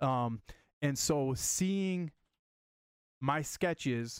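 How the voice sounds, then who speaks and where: In a very clean recording with a silent background, a man with an American accent speaks in an unremarkable speaking voice at medium pitch, with ordinary pitch variation. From Michigan, US Midwest. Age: 30s. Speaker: comic book creator. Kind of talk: casual chat.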